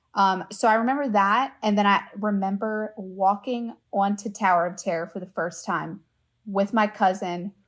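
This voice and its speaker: In a very clean recording with a silent background, a woman with an American accent uses a normal speaking voice at medium pitch and fairly even intonation. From US South, Louisiana. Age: 20s. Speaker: travel agent. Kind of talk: casual chat.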